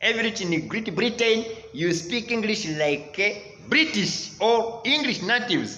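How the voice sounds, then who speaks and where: An animated, raised and projected voice with lively intonation, over noticeable background noise and audible room echo. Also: man. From Rwanda. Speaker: English teacher. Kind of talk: online lesson.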